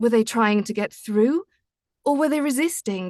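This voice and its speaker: High-pitched female speech with a dry, close sound and no echo. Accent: British. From Britain. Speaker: audiobook narrator. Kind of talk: reading aloud.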